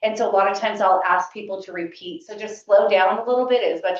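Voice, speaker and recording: With ordinary pitch variation, a woman talks at a medium pitch. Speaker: career development advisor. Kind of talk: workshop presentation. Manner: fast.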